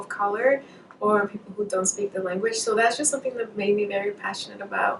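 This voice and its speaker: A woman with a Spanish accent amid noticeable background noise. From Mexico. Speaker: medical student. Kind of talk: interview. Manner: hesitant, many fillers.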